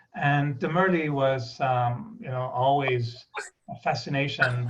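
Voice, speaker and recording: A man with a slight British accent speaks at a medium pitch, somewhat breathy, with audible room echo. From Quebec, Canada (Montreal). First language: French. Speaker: spiritual speaker. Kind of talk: spiritual talk.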